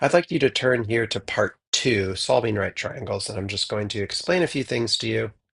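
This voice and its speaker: A somewhat breathy man's voice at a moderate pace. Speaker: math teacher. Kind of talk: tutorial. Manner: hesitant with fillers.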